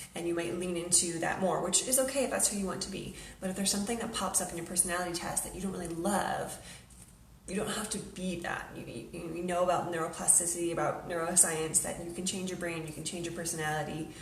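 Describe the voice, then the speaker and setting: A woman talks very fast in a fairly low pitch with fairly even intonation, with audible room echo and noticeable background noise. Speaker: behavior coach for teachers and parents. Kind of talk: educational vlog monologue. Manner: casual, conversational.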